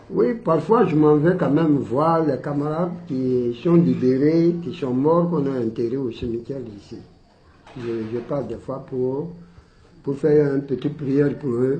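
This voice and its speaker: Fairly slow speech from a man with a fairly high pitch and ordinary pitch variation, with audible room echo. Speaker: colonial war veteran. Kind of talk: testimony. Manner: loud.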